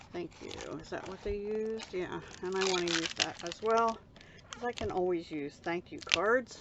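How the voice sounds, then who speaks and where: Soft-spoken, a woman talks at a moderate pace and medium pitch with ordinary pitch variation and big swings in loudness over noticeable background noise. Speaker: card-making crafter. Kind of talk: crafting tutorial. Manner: casual.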